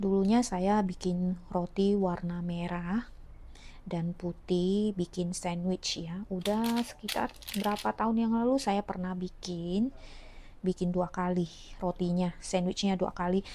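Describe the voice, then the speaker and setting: A woman with a medium pitch talks fairly slowly, her intonation fairly even. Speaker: home cooking vlogger. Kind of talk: cooking tutorial. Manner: casual, halting.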